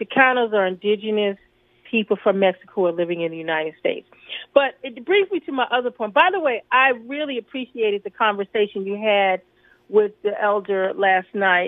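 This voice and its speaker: Fairly high in pitch, a woman's voice moves at a fairly quick pace. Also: ordinary pitch variation. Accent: New York. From New York City. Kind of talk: radio discussion.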